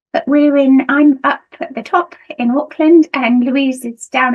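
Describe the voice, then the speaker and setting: A woman is speaking. Her pace is moderate. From United Kingdom. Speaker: nursing lecturer. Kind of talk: conference presentation. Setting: video call. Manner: hesitant, many fillers.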